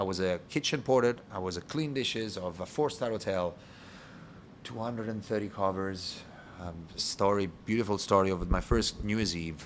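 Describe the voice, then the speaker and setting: He is a man with an Italian accent and a fairly low pitch. His pace is moderate. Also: ordinary pitch variation. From Italy (Rome). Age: 30s. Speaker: bar owner and bartender. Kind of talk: interview podcast conversation. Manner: halting.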